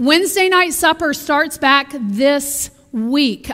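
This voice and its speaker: The voice is raised and projected, with a bright, sharp tone. The background is quiet. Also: woman. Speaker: minister giving announcements. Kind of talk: church announcements. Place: church.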